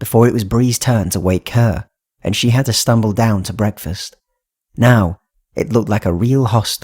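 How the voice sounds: The background stays quiet. What you hear is a natural reading voice.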